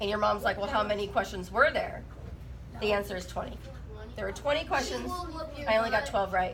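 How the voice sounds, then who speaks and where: Noticeable background noise behind a woman talking fairly quickly. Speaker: math teacher. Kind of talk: classroom lesson.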